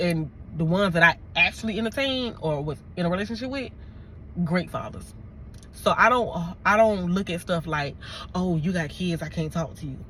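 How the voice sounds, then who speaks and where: A woman with a fairly low pitch talks at a moderate pace in an animated tone, her intonation lively. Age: 30s. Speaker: YouTuber and correctional officer. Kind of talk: storytime vlog.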